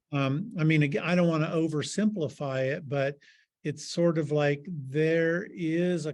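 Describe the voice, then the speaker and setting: Fairly slow, fairly even speech from a man with a fairly high pitch and an American accent. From US Midwest, southern Ohio. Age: 60s. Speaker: filmmaker and artist. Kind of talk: interview. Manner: halting.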